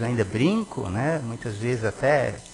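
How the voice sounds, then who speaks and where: A man at medium pitch moves at a very slow pace, his intonation lively. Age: 60s. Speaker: city councillor. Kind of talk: reading aloud; ceremonial speech. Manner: hesitant.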